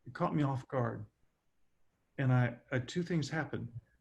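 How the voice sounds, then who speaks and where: A man speaks with an American accent at a medium pitch. His voice is somewhat breathy, with ordinary pitch variation. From Southern California. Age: 60s. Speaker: speaker. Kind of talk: q&a session.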